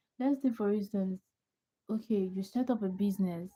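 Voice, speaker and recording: A woman with a somewhat breathy, dark and mellow tone speaks at medium pitch and a moderate pace. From Nigeria. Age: 20s. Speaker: livestreamer. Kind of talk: casual chat.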